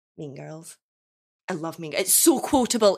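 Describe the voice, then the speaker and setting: A woman speaks in a Scottish accent with a bright, sharp tone and lively intonation. The recording is very clean, with a silent background. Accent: Scottish but softer than typical Dundonian. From Dundee, Scotland. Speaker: guest player in game. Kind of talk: casual banter, question game. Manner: light, laughing often.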